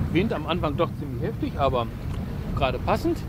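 A man talks at a moderate pace in dry, echo-free sound despite loud background noise. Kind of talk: casual vlog chat. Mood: relaxed and content. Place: boat. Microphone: camera far.

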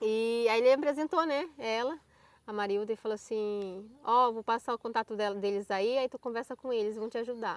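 A woman's fairly quick, fairly high voice with ordinary pitch variation, an ordinary speaking voice. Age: 20s. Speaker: YouTuber. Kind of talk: casual chat. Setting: outdoors.

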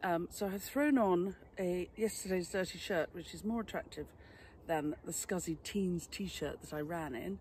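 The somewhat breathy voice has a dry sound with no echo over light background noise. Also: woman. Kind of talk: casual vlog chat. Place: garden.

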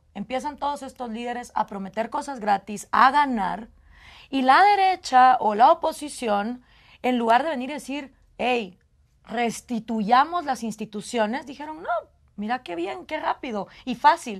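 At a moderate pace, a high-pitched woman with a Guatemalan accent speaks with lively intonation and big swings in loudness against a quiet background. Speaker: political scientist and radio host; radio host. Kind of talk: interview. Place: studio. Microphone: lapel.

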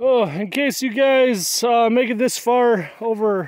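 A man with an Upper Midwest accent, in a dry sound with no echo. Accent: Upper Midwest American. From US Midwest, northern Wisconsin. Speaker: gaming streamer. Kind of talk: casual live-stream chat. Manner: rambling. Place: open country. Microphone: phone near.

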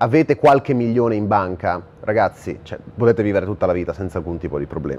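With lively intonation, the man talks at a fairly quick pace. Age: 20s. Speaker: online entrepreneur and influencer; influencer. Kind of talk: direct-to-camera monologue. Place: home room.

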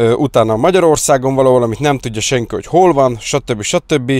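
Against a quiet background, a man talks at a fairly quick pace. His pitch variation is ordinary. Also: dry sound with no echo. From Hungary. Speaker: car detailing youtuber; car detailing vlogger. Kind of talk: casual vlog talk to viewers; casual vlog chat. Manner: casual, fast, with fillers. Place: car. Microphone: lapel.

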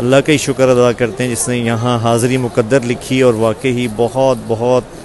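A man talks at a fairly slow pace in a monotone, flat intonation. The sound is dry with no echo, over light background noise. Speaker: speaker. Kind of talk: casual vlog chat. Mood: somber, grieving, prayerful. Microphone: earbuds.

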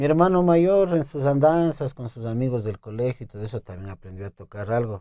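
A man with a dark, mellow tone speaks at a fairly quick pace. The sound is dry with no echo, and the background is quiet. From Ecuador, Imbabura (Urcuquí); Imbabura. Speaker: requinto guitarist and composer; guest. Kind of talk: interview. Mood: relaxed, friendly. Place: studio. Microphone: lapel.

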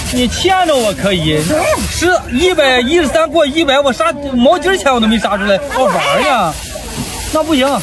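A man speaks at a moderate pace with an extremely high pitch and lively intonation. The sound is dry with no echo, and background noise is noticeable. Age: 70s. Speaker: pork butcher at a rural market. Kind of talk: casual market haggling. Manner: loud, animated. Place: market. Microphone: phone near.

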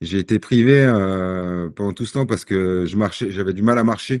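At a fairly slow pace, a man talks with a fairly low pitch and ordinary pitch variation. The background is quiet, with a dry sound with no echo. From Paris region, Seine-Saint-Denis; Paris region. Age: 40s. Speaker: sportsman with Parkinson's disease; podcast guest. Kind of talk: podcast interview. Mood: calm, reflective. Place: home room. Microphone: video call.

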